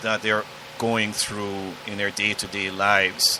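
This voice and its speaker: There is noticeable background noise. Over it, a man speaks with a Jamaican accent. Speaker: podcast guest. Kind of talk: interview.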